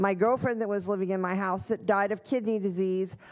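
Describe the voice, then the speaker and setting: A woman's normal speaking voice with fairly even intonation. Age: 60s. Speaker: home care worker. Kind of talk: public comment. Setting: county board meeting.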